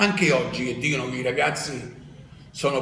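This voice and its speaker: A man's fairly quick speech with ordinary pitch variation, noticeable background noise and audible room echo. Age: 70s. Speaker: tennis coach. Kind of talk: interview. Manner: animated.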